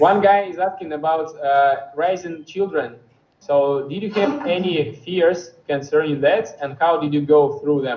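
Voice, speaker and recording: A man's fairly high voice, with ordinary pitch variation, unfolds at a fairly slow pace. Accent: Russian. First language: Russian. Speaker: interpreter. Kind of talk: live interpretation. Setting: video call.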